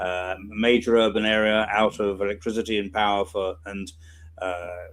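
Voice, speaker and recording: A man with a British accent, fairly low in pitch, at a moderate pace. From UK. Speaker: emergency response volunteer. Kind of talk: interview.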